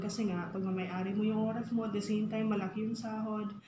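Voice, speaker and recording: A woman speaks at medium pitch. Audible room echo and light background noise are present. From Philippines. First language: Tagalog. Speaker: public school teacher and vlogger; teacher. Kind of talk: casual vlog mixing English and Tagalog. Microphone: phone near.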